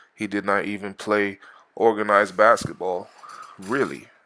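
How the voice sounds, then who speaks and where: A fairly low-pitched male voice with a bright, sharp tone. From Jamaica. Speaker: Marine veteran and youth basketball coach. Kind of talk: vlog commentary over workout footage. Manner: casual, joking.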